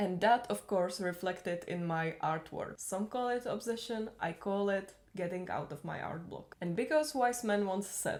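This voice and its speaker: With a non-native accent, a woman talks at a moderate pace and medium pitch, her pitch moving in an ordinary way. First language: not English. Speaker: YouTuber, hobby artist. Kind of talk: casual voiceover narration.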